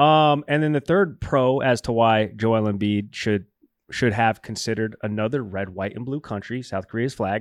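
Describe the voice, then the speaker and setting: A normal speaking voice from a man, medium in pitch, at a moderate pace with ordinary pitch variation against a quiet background. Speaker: co-host sports talk. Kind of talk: casual banter sports talk show. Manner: laughs often, joking.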